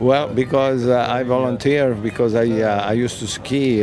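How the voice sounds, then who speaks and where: Speaking with an Italian accent and fairly even intonation, a man is heard through audible room echo and noticeable background noise. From northern Italy, Turin. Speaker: war veteran. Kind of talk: oral history interview. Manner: halting, many fillers.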